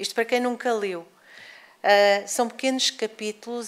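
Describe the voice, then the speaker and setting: Here, a woman is talking. The movement in her pitch is ordinary. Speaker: lecturer. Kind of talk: lecture. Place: hall. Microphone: podium.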